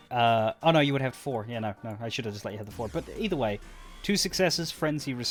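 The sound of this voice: This is an unforced reading voice. It is read that way throughout.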